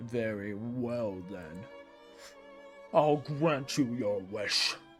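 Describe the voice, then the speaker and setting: Clear music plays behind a man using a put-on character voice. He speaks at a very slow pace and a medium pitch. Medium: read story. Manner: cold, imperious.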